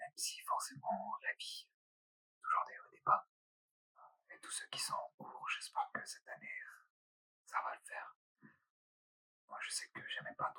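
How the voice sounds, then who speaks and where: Soft-spoken and whispering, the voice has big swings in loudness and long, frequent pauses, in a dry, close sound with no echo. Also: man, fairly slow pace. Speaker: ASMR creator. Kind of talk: ASMR casual talk. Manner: soft, lightly whispered.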